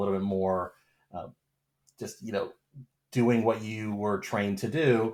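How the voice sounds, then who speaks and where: A man with an American accent, fairly low pitch and fairly even intonation at a moderate pace, on a very clean recording with a silent background. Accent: American, kept despite 20 years in Australia. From US West Coast, Los Angeles. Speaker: pharmacist and entrepreneur. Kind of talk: podcast interview. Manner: many filler words and restarts.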